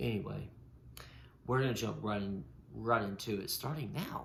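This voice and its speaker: A man talks at a medium pitch with vocal fry. Audible room echo surrounds his voice. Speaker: podcast host. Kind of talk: casual chat. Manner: halting.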